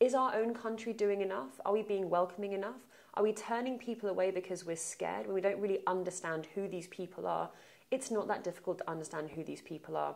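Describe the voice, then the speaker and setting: A woman with a London accent, medium pitch and vocal fry talks at a very fast pace with ordinary pitch variation. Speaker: aid organization advocacy director. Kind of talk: interview.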